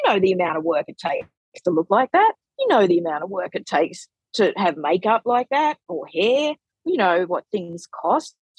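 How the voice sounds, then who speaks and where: With lively intonation and a fairly quick pace, a woman talks in a dry, close sound with no echo. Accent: Australian. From Australia. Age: 40s. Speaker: money educator and author. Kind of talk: podcast interview.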